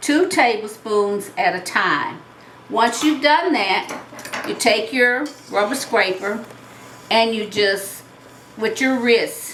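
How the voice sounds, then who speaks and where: A woman with a Southern US accent speaks very slowly in a fairly high, relaxed voice with lively intonation and long, frequent pauses. Room echo is audible, and background noise is noticeable. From US South. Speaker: retired teacher and home cook. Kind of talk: cooking tutorial. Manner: relaxed, conversational.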